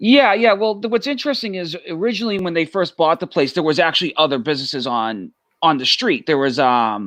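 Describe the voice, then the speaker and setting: With a Boston accent, a man speaks at a fairly quick pace in a high voice. His pitch swings very widely. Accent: thick Boston. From Massachusetts (Arlington, near Boston). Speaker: family business member. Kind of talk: casual chat.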